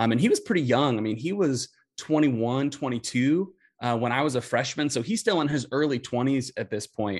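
A man with an American accent speaks in an ordinary speaking voice, his pitch varying in the usual way against a quiet background. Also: medium pitch for a man. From Indianapolis, US Midwest. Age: 30s. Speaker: youth ministry specialist, former youth pastor. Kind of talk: casual interview chat.

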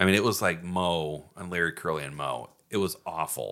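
A bright, sharp tone with vocal fry and ordinary pitch variation, on a very clean recording with a silent background. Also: man. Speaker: podcast host. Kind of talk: casual comedic banter. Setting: studio.

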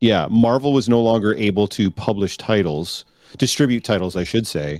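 A man with a Canadian accent speaks at a fairly quick pace in an ordinary speaking voice, his pitch fairly low, the sound dry and close with no echo. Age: 40s. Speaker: podcast co-host. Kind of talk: casual chat. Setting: live-streamed video call.

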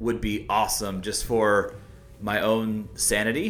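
A man's voice at medium pitch. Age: 30s. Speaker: software developer, gym member. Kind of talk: casual interview. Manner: halting, many fillers.

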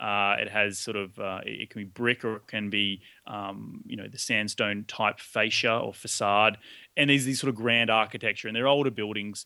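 In a very clean recording with a silent background, a man with an Australian accent speaks at a moderate pace and a fairly low pitch, in a bright, sharp tone with fairly even intonation and big swings in loudness. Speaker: real estate investor. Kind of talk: interview.

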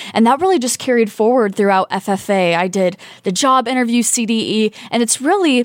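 With an American accent, a woman with an ordinary speaking voice talks at a moderate pace and fairly even intonation, the sound dry and close with no echo. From rural Indiana. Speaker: PhD student and pageant titleholder. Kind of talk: interview. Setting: studio.

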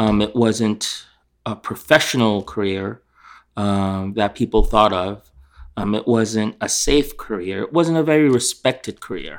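Recorded very cleanly with a silent background, a man with an American accent speaks at a fairly slow pace in a fairly low pitch, with ordinary pitch variation. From New York, raised partly in England. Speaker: chef and restaurant owner. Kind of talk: interview. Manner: halting, many fillers.

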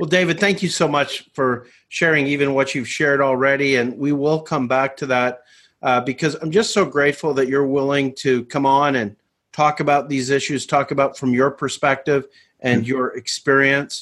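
Against a quiet background, a man with an unremarkable speaking voice talks at a moderate pace, fairly high in pitch, with fairly even intonation. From Canada. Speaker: ministry network director. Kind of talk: webinar host discussion.

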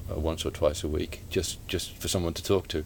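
The man's voice is very deep and low, and somewhat breathy. His intonation is monotone and flat. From Staffordshire, England. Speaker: author and retired police officer. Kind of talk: interview. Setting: bookshop. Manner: halting.

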